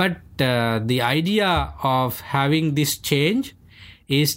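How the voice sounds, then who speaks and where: Speaking at a very slow pace with a Sri Lankan accent, a man with a fairly high pitch keeps his loudness very even in a very clean recording with a silent background. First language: Sinhalese. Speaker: Buddhist monk. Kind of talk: interview, explanatory conversation. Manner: halting, many fillers.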